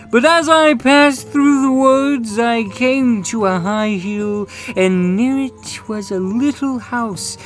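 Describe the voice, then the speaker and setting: Against clear background noise, a woman uses a put-on character voice with very wide pitch swings at a fairly slow pace. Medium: comedy sketch.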